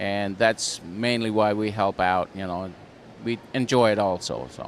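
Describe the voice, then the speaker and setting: A man with a Pennsylvania Dutch accent speaks at a fairly slow pace, his pitch fairly low. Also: ordinary pitch variation. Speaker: farm show volunteer. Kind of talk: casual interview. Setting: indoor farm show.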